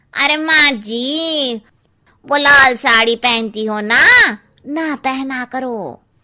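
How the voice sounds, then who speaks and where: A woman's cartoonish character voice, high-pitched, at a very slow pace with ordinary pitch variation. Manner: blunt, cheeky.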